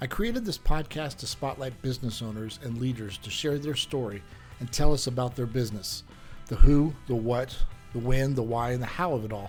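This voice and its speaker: With music in the background, a man talks at a fairly quick pace with medium pitch. His loudness swings widely while his pitch varies in an ordinary way. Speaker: podcast host, insurance agency owner. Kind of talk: podcast interview host.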